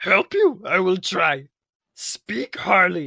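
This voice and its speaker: Using a put-on character voice, a man speaks very slowly in a high, raised, projected voice, with a dry, close sound and no echo. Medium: read story. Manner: inverted word order, cryptic.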